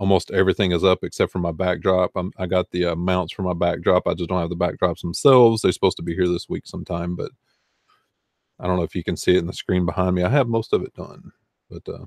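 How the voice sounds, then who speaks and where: A very fast pace in a slight Southern US accent, with a dry, close sound with no echo, on a very clean recording with a silent background. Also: man. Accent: Southern US accent, mild. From US South, Arkansas. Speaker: online reseller and video host. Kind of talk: casual livestream chat. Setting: live stream with chat.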